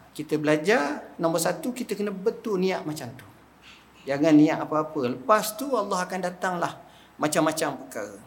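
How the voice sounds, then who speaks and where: A man with a high pitch talks at a moderate pace with lively intonation and big swings in loudness. Audible room echo and noticeable background noise surround him. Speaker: religious teacher. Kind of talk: religious lecture. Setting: mosque prayer hall with audience. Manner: casual colloquial.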